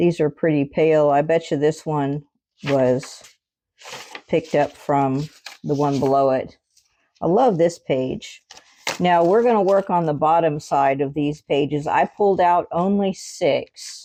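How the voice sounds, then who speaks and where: A woman's very deep, low pitch and dark, mellow tone, at a fairly slow pace with very even loudness and ordinary pitch variation. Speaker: craft video host. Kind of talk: craft tutorial. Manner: casual, chatty.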